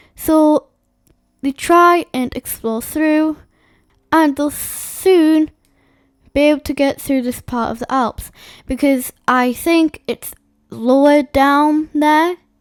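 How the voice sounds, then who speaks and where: Speaking at a very slow pace with long, frequent pauses, a woman uses a high pitch and fairly even intonation. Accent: English. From England. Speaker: YouTuber narrating a map simulation. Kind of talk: casual commentary over a map simulation.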